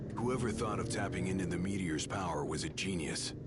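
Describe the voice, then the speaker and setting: A man speaks in a cartoonish character voice, pitched very deep and low. Loud background noise runs underneath him. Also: fairly quick pace. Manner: blunt, casual.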